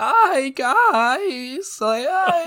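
This is a put-on character voice at an extremely high pitch. The sound is hoarse.

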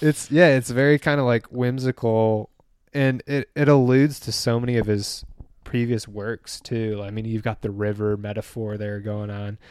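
A man with an American accent talks in a plain, everyday voice and fairly even intonation. The recording is very clean with a silent background, and the sound is dry and close with no echo. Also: medium pitch for a man, moderate pace. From Michigan, US Midwest. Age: 20s. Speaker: podcast guest and fan. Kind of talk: casual chat.

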